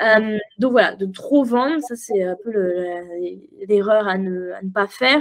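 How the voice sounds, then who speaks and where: At a very slow pace and medium pitch, a woman talks with ordinary pitch variation, big swings in loudness and hardly any pauses. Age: 20s. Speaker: copywriting mentor and entrepreneur. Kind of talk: casual interview chat. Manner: animated, frequent laughter.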